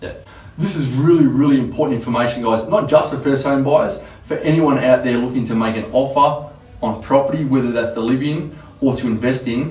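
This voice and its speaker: Noticeable background noise sits behind a man at medium pitch. He talks at a fairly quick pace with ordinary pitch variation. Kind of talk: casual talk to camera.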